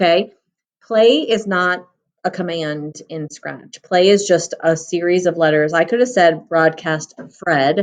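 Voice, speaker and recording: A woman with an ordinary speaking voice talks at a fairly slow pace, her fairly low pitch showing ordinary variation. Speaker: coding teacher. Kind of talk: tutorial. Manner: casual with many fillers.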